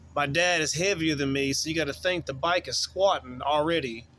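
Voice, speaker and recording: Someone with a Southern US accent speaks at a moderate pace in a bright, sharp tone with fairly even intonation. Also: man. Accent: Southern US country. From US South, western North Carolina. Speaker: YouTuber telling personal stories. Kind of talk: casual storytelling.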